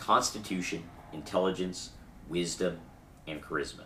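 The voice has a bright, sharp tone. Room echo is audible. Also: man. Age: 30s. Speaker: podcast host and tabletop gamer. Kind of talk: casual chat.

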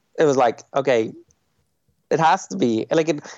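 Speaking with a Dublin accent, a man has a fairly high pitch and lively intonation. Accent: Dublin Irish. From Ireland, Dublin. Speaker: film director. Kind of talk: interview.

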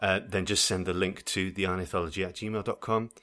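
A man with a plain, everyday voice, fairly low in pitch, with fairly even intonation, on a very clean recording over a silent background. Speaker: podcast host. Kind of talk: casual chat.

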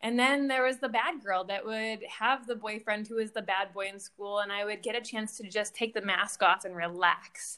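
A woman's bright, sharp voice in an American accent, fairly high in pitch, at a moderate pace with hardly any pauses and ordinary pitch variation. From Michigan. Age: 40s. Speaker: relationship coach. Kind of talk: casual chat.

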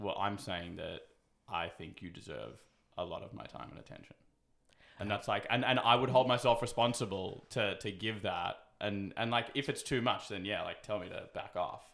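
A man with an Australian accent at medium pitch, moderate pace, ordinary pitch variation and big swings in loudness. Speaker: podcast host. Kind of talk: casual chat.

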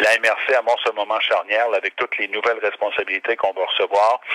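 Over noticeable background noise, a man speaks at a fairly quick pace with a dry, close sound and no echo. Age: 50s. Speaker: regional politician. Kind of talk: interview. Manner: halting.

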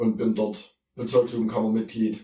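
A man talks fairly quickly at medium pitch with fairly even intonation. He has an ordinary speaking voice. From Saxony, Erzgebirge (Germany). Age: 20s. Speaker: theology student and youth worker, podcast co-host. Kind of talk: casual Bible discussion.

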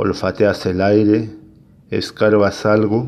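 The speech comes at a very slow pace in a monotone, flat intonation. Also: man. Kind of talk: poetry reading.

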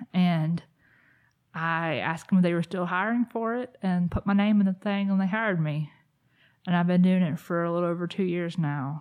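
A plain, everyday voice speaks at a moderate pace with fairly even intonation. The background is quiet. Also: woman, fairly low pitch for a woman. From US South, South Carolina. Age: 30s. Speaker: peer support specialist. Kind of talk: casual chat.

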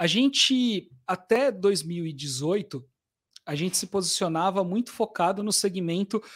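A man with a high pitch and ordinary pitch variation talks at a very slow pace on a very clean recording with a silent background. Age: 40s. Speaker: sales education company director. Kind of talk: casual interview.

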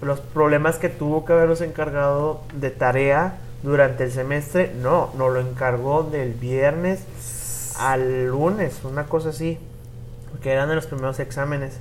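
The voice moves at a fairly slow pace with fairly even intonation. Noticeable background noise runs underneath. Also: man, fairly high pitch for a man. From Mexico, Puebla. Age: 20s. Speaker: podcast host. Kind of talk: casual chat. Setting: hotel in Cancún, improvised recording.

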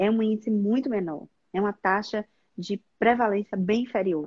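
Her dark, mellow tone is somewhat breathy, as a woman speaks in a medium pitch with ordinary pitch variation. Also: dry, close sound with no echo. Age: 40s. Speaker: gynecologist. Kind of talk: live stream interview. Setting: online live stream.

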